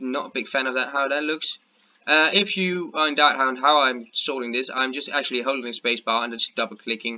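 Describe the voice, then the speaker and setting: Mumbling at a moderate pace, a man with a Danish accent talks at a medium pitch with ordinary pitch variation. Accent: Danish accent, weird pronunciation at times. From Denmark. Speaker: gaming youtuber. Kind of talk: gameplay commentary. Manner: halting, many fillers.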